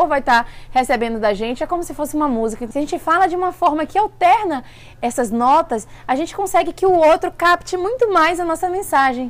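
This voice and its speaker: Speaking at a fairly quick pace, a woman uses an extremely high pitch. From Bahia, Brazil. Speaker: vlogger. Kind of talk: casual vlog talk. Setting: at an event in California. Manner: fast.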